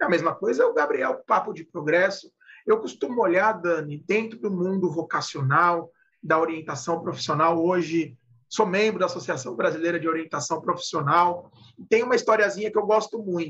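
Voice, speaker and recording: A man talks at a moderate pace in a high voice, with ordinary pitch variation. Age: 30s. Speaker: podcast co-host, positive psychology. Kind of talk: casual chat.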